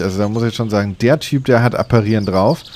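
A man talks fast at a medium pitch. His tone is slightly mellow.

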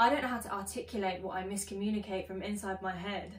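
A woman talks at a fairly quick pace. Room echo can be heard. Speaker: spoken word poet. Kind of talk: spoken word poetry performance. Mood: earnest, expressive, frustrated. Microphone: phone near.

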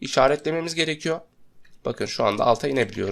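Vocal fry marks a man's fairly high voice in a very clean recording with a silent background. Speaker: software tutorial instructor. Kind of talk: screen-recorded tutorial.

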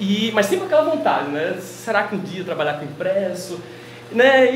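Amid audible room echo and light background noise, a man with a high voice speaks at a fairly quick pace. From Maceió, Alagoas, Brazil. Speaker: publisher being interviewed. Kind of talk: interview answer. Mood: relaxed, smiling. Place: shop. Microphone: lapel.

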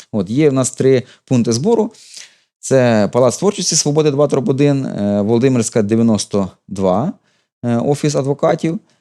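With long, frequent pauses, a man talks at a fairly slow pace in a medium pitch, his dark, mellow tone carrying lively intonation. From Ukraine, Ukrainian-speaking family. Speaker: volunteer and YouTube channel co-creator. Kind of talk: TV interview.

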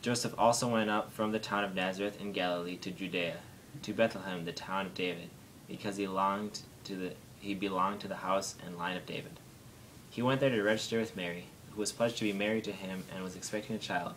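Talking at a very fast pace, a man with a fairly low pitch keeps a fairly even intonation over light background noise. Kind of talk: reading aloud a nativity passage. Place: home room.

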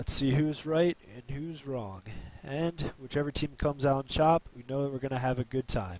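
A man talks at a moderate pace with ordinary pitch variation, the sound dry with no echo. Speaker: stream commentator. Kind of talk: commentary.

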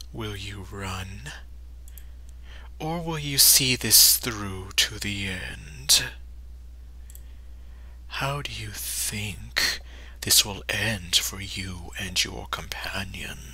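A put-on character voice, very deep and low-pitched, at a very slow pace with long, frequent pauses. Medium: voice reel. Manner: cryptic, taunting.

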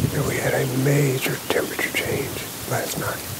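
A man at a fairly slow pace, dry with no echo, under loud background noise. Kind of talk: hushed hunting commentary to camera. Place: forest.

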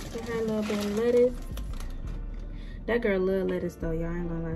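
Over clear background music, a woman speaks at a fairly quick pace with fairly even intonation. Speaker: vlogger. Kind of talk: casual vlog chat. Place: kitchen. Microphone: phone near.

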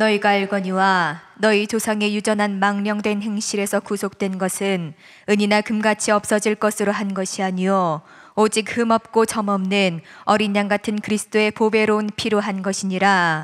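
Against a quiet background, a woman speaks at a moderate pace with monotone, flat intonation. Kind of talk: reading aloud. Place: church. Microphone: podium.

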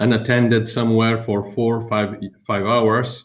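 A man with an Italian accent speaks in a monotone, flat intonation. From Italy. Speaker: teacher; webinar presenter, teacher. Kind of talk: webinar presentation; lecture. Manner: halting, many fillers. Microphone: video call.

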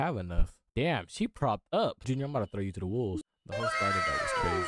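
Over music in the background, a man speaks at a very fast pace, the sound dry with no echo. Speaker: gaming commentator. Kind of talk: casual gameplay commentary. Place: home room.

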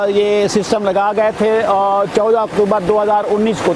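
A man talks with a high pitch. The sound is dry with no echo, though noticeable background noise comes through. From Pakistan, Bhakkar district, Thal; Pakistan. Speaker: farmer, customer. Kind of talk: customer testimony. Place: farm machine.

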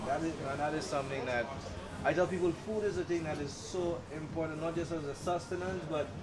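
A man rattles along at a very fast pace while loud background noise plays. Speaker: show host. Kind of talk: interview questions and commentary. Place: cafe.

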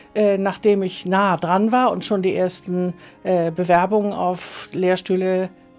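A woman at a very slow pace with fairly even intonation, faint music in the background. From northern Germany and Milan, Italy. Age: 60s. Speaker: trance medium; interviewee. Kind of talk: personal life story interview. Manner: hesitant, many fillers. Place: studio.

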